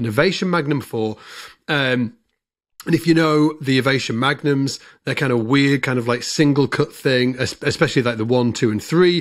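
A British accent at a moderate pace, with ordinary pitch variation over a quiet background. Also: man, fairly high pitch for a man. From UK. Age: 40s. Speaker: bass player and podcast host. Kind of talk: casual chat. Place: home room. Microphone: studio mic.

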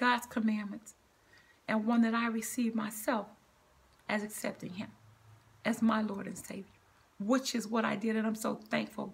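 Somewhat breathy, a woman speaks at a moderate pace in a flat monotone. Long pauses come often. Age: 60s. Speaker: cancer survivor and motivational speaker. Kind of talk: devotional sermon-style talk with scripture reading. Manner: earnest, preachy, conversational. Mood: earnest, preaching. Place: home room. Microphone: phone near.

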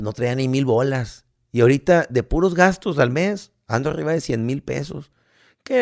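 With a quiet background, a man keeps a moderate pace as he talks. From Mexico. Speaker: podcast co-host, comedian. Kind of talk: casual chat. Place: home room. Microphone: studio mic.

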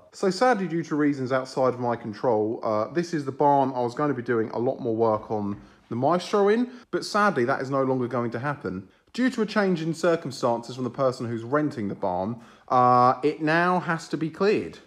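A man at a fairly quick pace with lively intonation, over a quiet background. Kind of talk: casual vlog narration. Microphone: phone near.

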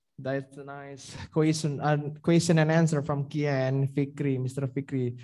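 At a fairly slow pace, a man speaks with a dark, mellow tone and a fairly high pitch.

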